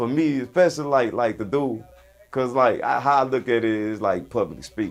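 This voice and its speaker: Over music in the background, the speaker talks with a Louisiana accent at a fairly quick pace with ordinary pitch variation. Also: man. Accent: Southern US, Louisiana. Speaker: rapper. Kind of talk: interview. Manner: casual, loose.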